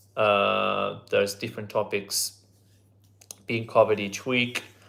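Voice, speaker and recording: Here a man speaks with an Italian accent. His voice is fairly low and his pace fairly slow. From Italy. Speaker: language teacher. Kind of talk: live online lesson. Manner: hesitant, many fillers.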